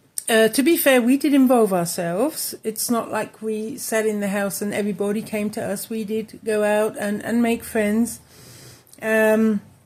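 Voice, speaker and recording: A woman speaks with an English accent at a fairly high pitch. Her intonation stays fairly even. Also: moderate pace. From England. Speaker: crochet crafts YouTuber. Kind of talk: casual chat to camera. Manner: halting, many fillers.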